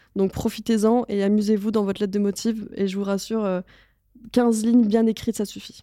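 Dark, mellow female voice, flat and monotone, on a very clean recording against a silent background. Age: 20s. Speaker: advertising strategic planner. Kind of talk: interview. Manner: casual, frequent laughter.

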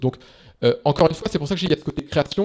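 A man speaks in a dark, mellow tone. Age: 30s. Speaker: startup investor and founder. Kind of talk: interview. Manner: hesitant, many fillers.

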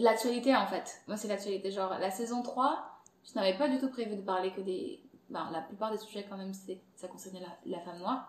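With big swings in loudness, a woman talks at a moderate pace in a medium pitch with ordinary pitch variation. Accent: Angolan. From Angola. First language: Portuguese (speaking French). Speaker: content creator and podcast host. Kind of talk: casual interview chat.

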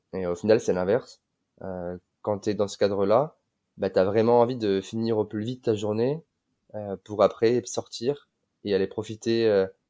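Pausing long and often, a man speaks at a moderate pace with a fairly low pitch and a dark, mellow tone. The recording is very clean and the background silent. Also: fairly even intonation. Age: 20s. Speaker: digital nomad, mobility consultant. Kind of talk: casual chat.

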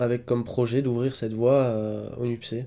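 Music plays in the background as a man speaks at a medium pitch and fairly slow pace in a flat monotone. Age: 30s. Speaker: mountain guide. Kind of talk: testimony. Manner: halting.

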